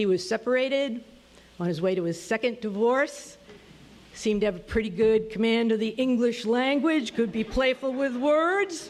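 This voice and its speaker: A woman has an unremarkable speaking voice at a fairly high pitch. She talks at a moderate pace with lively intonation. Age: 60s. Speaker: storyteller. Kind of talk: storytelling.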